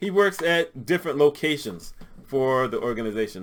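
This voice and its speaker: A man speaks at a moderate pace with lively intonation and a fairly high pitch. It is a plain, everyday voice, on a very clean recording with a silent background. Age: 60s. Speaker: health care consultant and motivational vlogger. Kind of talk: personal anecdote monologue.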